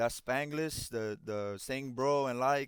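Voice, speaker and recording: Speaking with a Miami accent, a man uses a medium pitch, ordinary pitch variation and a moderate pace. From Miami, Florida (Cuban-American). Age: 20s. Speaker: former college baseball player, content creator. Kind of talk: casual chat. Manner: animated.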